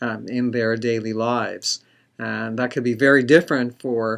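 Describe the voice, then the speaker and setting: In a Canadian accent, a man talks at a medium pitch. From Canada. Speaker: psychologist, society president. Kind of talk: lecture. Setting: webinar recording. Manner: halting, many fillers.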